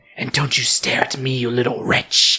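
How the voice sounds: A put-on character voice with a husky, rough edge and a bright, sharp tone. The pitch barely moves. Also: moderate pace.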